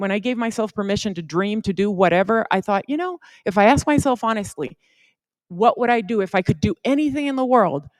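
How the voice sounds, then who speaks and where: A woman with a Spanish accent speaks in a warm tone at a fairly high pitch. Her intonation is lively. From Puerto Rico, then Yuma, Arizona from age 14. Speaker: supreme court justice. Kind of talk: advice talk to students. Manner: conversational, warm.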